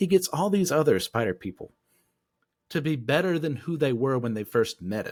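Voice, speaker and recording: On a very clean recording with a silent background and a dry, close sound with no echo, a man talks at a fairly quick pace and fairly high pitch, in an animated tone with very wide pitch swings. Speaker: faith podcast co-host. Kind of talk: casual discussion.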